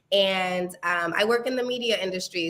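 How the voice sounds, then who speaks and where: Over noticeable background noise, a woman speaks fairly quickly at medium pitch with fairly even intonation. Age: 30s. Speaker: reality TV contestant, media professional. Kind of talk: interview. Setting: live stream.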